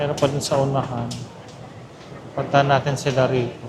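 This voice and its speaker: Soft-spoken and monotone, a man with a fairly high pitch talks at a moderate pace, with flat intonation, audible room echo and noticeable background noise. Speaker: travel vlogger. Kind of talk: casual vlog narration. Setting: airport terminal.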